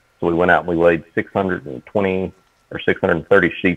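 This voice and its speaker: Deep and very low-pitched, a man speaks with an Appalachian accent. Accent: Appalachian Southern US. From Eastern Kentucky. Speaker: horror author and field biologist. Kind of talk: casual podcast chat.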